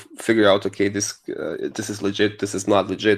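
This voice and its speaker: A man with a non-native accent talks at a medium pitch and a moderate pace. The recording is very clean, with a silent background. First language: not English. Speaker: crypto newsletter writer, project co-founder. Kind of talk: casual chat.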